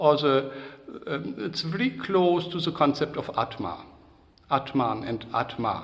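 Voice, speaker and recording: A man with a German accent speaks at a fairly slow pace with lively intonation. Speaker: psychodrama trainer. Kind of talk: interview. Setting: video call. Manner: halting.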